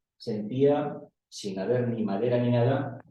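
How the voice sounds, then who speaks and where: A man's medium-pitched voice shows ordinary pitch variation, with audible room echo in the recording. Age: 60s. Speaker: audience member. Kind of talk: personal anecdote in Q&A. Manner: halting.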